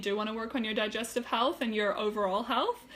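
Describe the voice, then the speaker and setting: Over noticeable background noise, a woman with a fairly high pitch speaks at a fairly quick pace in a monotone, flat intonation. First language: German. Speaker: health and wellness coach. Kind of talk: live stream talk. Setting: Facebook live video. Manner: hesitant, many fillers; casual, chatty.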